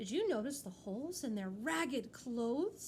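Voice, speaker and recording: A woman's put-on character voice, high-pitched, at a moderate pace with very wide pitch swings, over clear background noise. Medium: read story.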